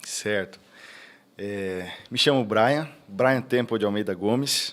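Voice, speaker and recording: A man at a medium pitch, ordinary pitch variation and a very slow pace. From Itapeva, interior of São Paulo state, Brazil. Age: 30s. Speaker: pastor. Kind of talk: casual chat.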